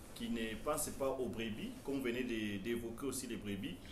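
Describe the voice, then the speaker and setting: With a Congolese accent, a man speaks amid noticeable background noise and audible room echo. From DR Congo. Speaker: TV host. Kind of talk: TV interview. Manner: hesitant.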